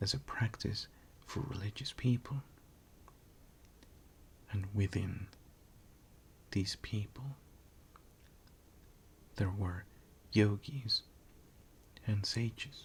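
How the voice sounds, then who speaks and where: A whisper delivered at a very slow pace. Long pauses come often. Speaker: ASMR creator. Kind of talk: ASMR history narration. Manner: whispered.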